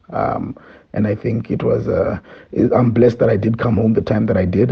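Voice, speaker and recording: A man's speech moves at a moderate tempo. Behind him, background noise is noticeable. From Zimbabwe. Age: 40s. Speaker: entrepreneur and political campaign manager. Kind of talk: interview. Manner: halting, many fillers.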